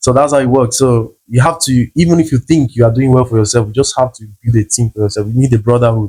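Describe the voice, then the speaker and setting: A man speaks very fast, somewhat breathy, with hardly any pauses. His dark, mellow tone comes through a dry, close sound with no echo. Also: medium pitch for a man, ordinary pitch variation. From South America, Brazil border city near Paraguay and Argentina. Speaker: travel content creator and language teacher. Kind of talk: interview.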